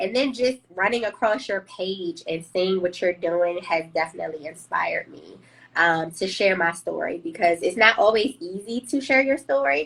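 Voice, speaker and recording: A woman with a plain, everyday voice, an American accent, medium pitch, lively intonation, big swings in loudness and a moderate pace. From Washington, D.C. (Southeast). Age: 30s. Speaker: HR professional, trauma survivor sharing her story. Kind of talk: testimony in live interview.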